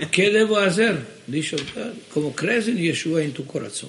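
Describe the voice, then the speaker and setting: A man with an Israeli accent speaks over noticeable background noise. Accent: Israeli-accented Judeo-Spanish. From Israel, Jerusalem. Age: 70s. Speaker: ministry director. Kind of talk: interview. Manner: halting.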